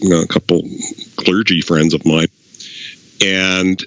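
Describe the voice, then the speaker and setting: A man with a strong Canadian accent speaks at a moderate pace in a very deep, low pitch. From Canada, Saskatchewan. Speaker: former funeral director. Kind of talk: casual chat.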